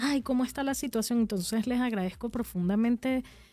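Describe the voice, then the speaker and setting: The voice has a dark, mellow tone and ordinary pitch variation, delivered with a Venezuelan accent. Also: woman. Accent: Venezuelan, noticeable to locals. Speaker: radio co-host. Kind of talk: radio talk show discussion.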